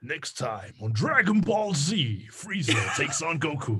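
A man puts on a character voice with very wide pitch swings, speaking at a fairly slow pace. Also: fairly high pitch for a man. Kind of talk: broadcast narration. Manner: dramatic, announcer-style.

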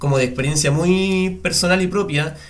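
Lively in intonation, a man speaks with audible room echo around him. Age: 20s. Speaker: podcast host. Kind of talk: scripted intro; casual chat.

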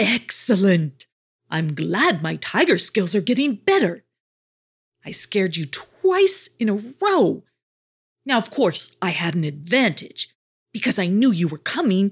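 A woman uses a put-on character voice at a fairly slow pace, medium in pitch with big pitch swings and a slightly husky edge, on a very clean recording with a silent background.

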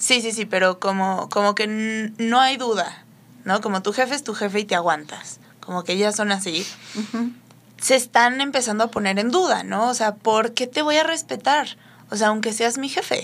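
An unremarkable speaking voice from a woman, fairly high in pitch, with ordinary pitch variation and a moderate pace. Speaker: instagram creator. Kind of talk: casual chat.

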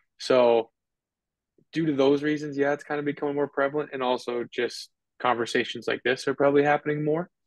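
A man with an American accent, a fairly high pitch, fairly even intonation and a very fast pace. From US Midwest (North Dakota). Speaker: physical therapist. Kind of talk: interview.

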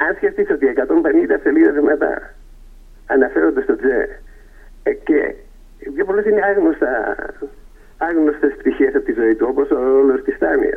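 Fairly slow speech from a man, broken by long pauses that come often. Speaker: poet and author. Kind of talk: radio interview. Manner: hesitant, filler-heavy.

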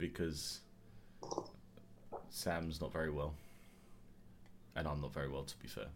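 The speaker talks at a fairly slow pace in an English accent, with fairly even intonation. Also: man. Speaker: podcast host. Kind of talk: casual chat. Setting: video call.

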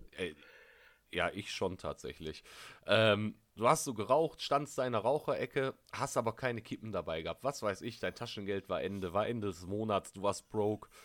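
This man has a plain, everyday voice, fairly low in pitch, with ordinary pitch variation. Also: moderate pace. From Ruhr area, Essen. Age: 20s. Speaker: podcast co-host. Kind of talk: casual chat. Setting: video call.

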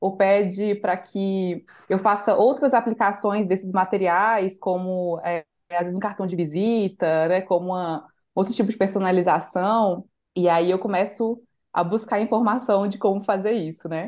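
An unremarkable speaking voice at a moderate pace, with fairly even intonation. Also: woman, medium pitch for a woman. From Brazil, Minas Gerais (Santa Luzia, Belo Horizonte area). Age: 20s. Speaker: designer and community leader. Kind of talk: interview conversation.

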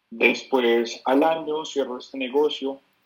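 A man speaks at a very slow pace. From Bogotá, Colombia. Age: 20s. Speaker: entrepreneur. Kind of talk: interview.

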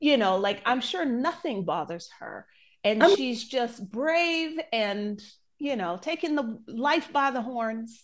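With an American accent, a woman speaks at a high pitch with very wide pitch swings. She goes at a very slow pace against a quiet background. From United States. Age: 40s. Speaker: podcast host and travel blogger. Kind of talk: casual chat.

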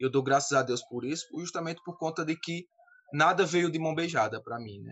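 The man's pitch is fairly high. It varies in an ordinary way. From Campina Grande, Paraíba, Brazil. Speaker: synagogue community leader. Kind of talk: panel discussion.

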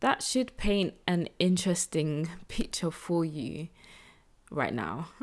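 A woman speaks slowly in a low voice with big pitch swings and a slightly mellow tone, on a very clean recording with a silent background.

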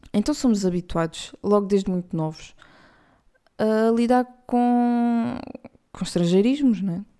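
Speaking at a fairly slow pace with long, frequent pauses, a woman with a European Portuguese accent has a dark, mellow tone, a fairly high pitch and ordinary pitch variation. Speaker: podcast host. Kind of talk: casual monologue.

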